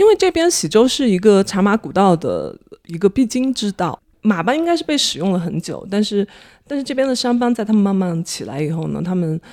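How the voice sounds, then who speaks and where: A woman speaks at a fairly quick pace with a medium pitch and very wide pitch swings. The recording is very clean and dry, close with no echo, over a silent background. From Dali, Yunnan (Xizhou). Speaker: market researcher, former journalist. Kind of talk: casual chat. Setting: at home.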